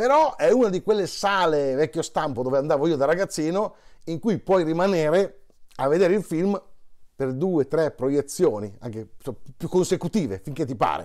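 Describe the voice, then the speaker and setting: A man talks with lively intonation at a fairly high pitch and a moderate pace against a quiet background. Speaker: monologist, stage storyteller. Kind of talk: casual talk to camera promoting a show. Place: home room. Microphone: lapel.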